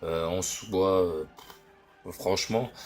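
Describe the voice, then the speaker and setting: A man is speaking. His pitch is very deep and low. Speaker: gaming YouTuber. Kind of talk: gameplay commentary. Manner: hesitant, many fillers.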